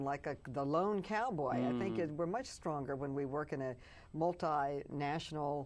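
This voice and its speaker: With an American accent, a woman talks at a moderate pace in an unremarkable speaking voice with ordinary pitch variation. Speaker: politician. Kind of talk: interview answer.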